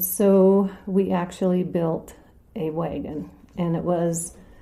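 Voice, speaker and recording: This woman's voice is fairly low in pitch with a dark, mellow tone. Audible room echo surrounds it. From North Dakota. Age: 60s. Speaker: local resident telling her story. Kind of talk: personal storytelling interview.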